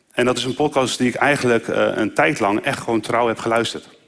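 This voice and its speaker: This man talks fairly quickly, with a medium pitch and ordinary pitch variation. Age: 30s. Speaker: lay preacher. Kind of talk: sermon.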